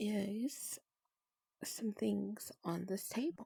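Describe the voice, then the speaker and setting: Soft-spoken and somewhat breathy, the voice has a gentle tone and a dark, mellow tone, recorded with a dry, close sound and no echo. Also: woman. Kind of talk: soft-spoken ASMR gaming narration. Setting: recorded in a virtual reality social game while showing worlds. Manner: soft-spoken, gentle.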